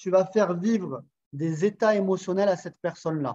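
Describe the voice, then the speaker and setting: A man speaks with a southern French accent at a moderate pace. His pitch is high, with ordinary variation. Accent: southern French sing-song. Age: 40s. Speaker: sales coach. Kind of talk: interview. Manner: animated.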